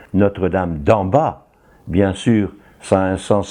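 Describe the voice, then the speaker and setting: A man speaks very slowly in a dark, mellow tone. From northern France, Tourcoing area. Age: 80s+. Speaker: retired priest. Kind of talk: interview talk.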